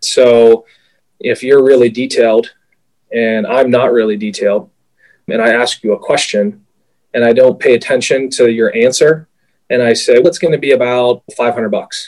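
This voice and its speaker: With an American accent, a man speaks at a moderate pace, leaving long, frequent pauses. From Pittsburgh, US. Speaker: sales executive, former NFL player. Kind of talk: interview.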